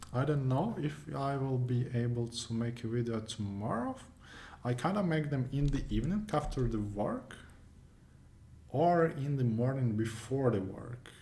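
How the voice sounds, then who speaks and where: A man with a non-native accent speaks at a moderate pace and medium pitch, with ordinary pitch variation. His tone is dark, mellow and somewhat breathy, and audible room echo surrounds him. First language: not English. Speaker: competitive programming YouTuber. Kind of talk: screencast tutorial wrap-up. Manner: casual, hesitant with many fillers.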